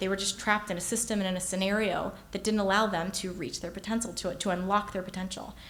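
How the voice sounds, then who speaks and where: Amid noticeable background noise, a woman at medium pitch speaks at a very fast pace with hardly any pauses and fairly even intonation. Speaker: keynote speaker. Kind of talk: keynote speech.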